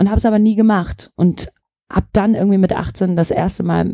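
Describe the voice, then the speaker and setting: Moving at a moderate pace, the speech has a dark, mellow tone. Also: woman. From Germany, Turkish parents. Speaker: singer-songwriter. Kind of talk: casual interview chat.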